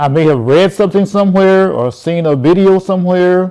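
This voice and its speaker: Pitch moves in an ordinary way while a man talks at a moderate pace. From United States. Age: 80s+. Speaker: YouTube commentator. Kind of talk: casual monologue to camera. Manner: halting, with repetitions.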